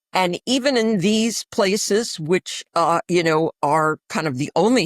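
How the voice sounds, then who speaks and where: With a New York accent, a woman speaks at a very slow pace and a fairly low pitch, her intonation lively. The sound is dry and close with no echo, on a very clean recording with a silent background. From New York City. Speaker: infectious disease physician. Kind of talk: interview. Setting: podcast.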